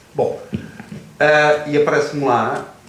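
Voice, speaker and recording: A man's voice is fairly high in pitch. Audible room echo and noticeable background noise surround it. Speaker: former soldier of the revolution. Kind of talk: panel talk at literary festival.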